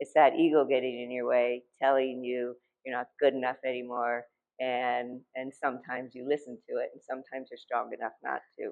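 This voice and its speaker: With an American accent, a woman talks in a very deep, low voice, flat and monotone, her loudness swinging widely. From Ohio, US Midwest. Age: 60s. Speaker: artist. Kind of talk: artist talk at gallery. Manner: halting, many fillers.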